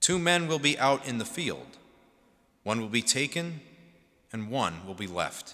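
Against a quiet background, a man talks at a fairly slow pace in a bright, sharp tone. His pitch swings very widely, and vocal fry comes through. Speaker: priest or deacon. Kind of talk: liturgical Gospel reading. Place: church. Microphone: podium.

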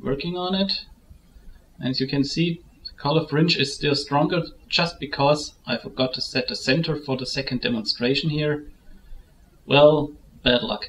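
With a German accent and a fairly high pitch, a man speaks with long, frequent pauses over light background noise. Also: ordinary pitch variation, moderate pace. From Germany. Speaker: photo editing tutorial maker. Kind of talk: tutorial. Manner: halting.

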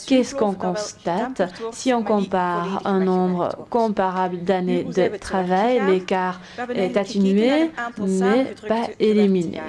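Through noticeable background noise, a woman speaks very slowly with ordinary pitch variation. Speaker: conference presenter. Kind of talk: lecture presentation. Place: hall. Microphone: podium.

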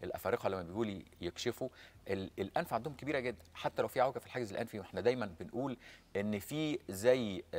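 A man is talking at a moderate pace. His pitch varies in an ordinary way. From Egypt. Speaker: ENT surgeon; guest. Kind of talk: medical interview. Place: studio. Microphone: lapel.

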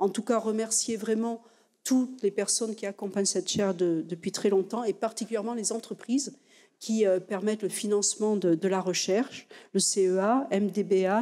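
The tone is dark and mellow, with fairly even intonation. The pace is moderate. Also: woman. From France. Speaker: university president. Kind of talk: formal speech. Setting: lecture hall with audience. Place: hall. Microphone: podium.

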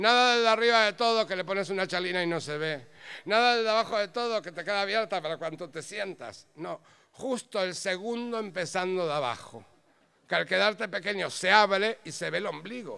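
Raised and projected, a man's high-pitched voice has a bright, sharp tone, ordinary pitch variation and a fairly quick pace. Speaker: storyteller. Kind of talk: live storytelling, humorous tale told to an audience. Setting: stage with audience. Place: stage. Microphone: handheld.

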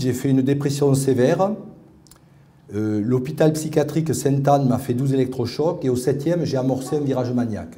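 A man speaks at a moderate pace in a somewhat breathy voice. His tone is dark and mellow. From Paris. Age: 50s. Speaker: researcher and patient advocate; conference speaker. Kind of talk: testimony talk. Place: hall. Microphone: podium.

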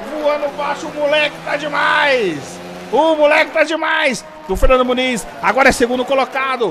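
Over noticeable background noise, a man with an extremely high pitch speaks in a raised, projected voice at a moderate pace with ordinary pitch variation. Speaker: sim racing commentator. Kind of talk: live race commentary, call of a virtual motorsport race. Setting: livestream broadcast. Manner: loud, hyped, shouting encouragement at the drivers.

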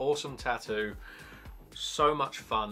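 A man is speaking with faint music in the background. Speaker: tattoo artist vlogger. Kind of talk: casual vlog chat. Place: home room.

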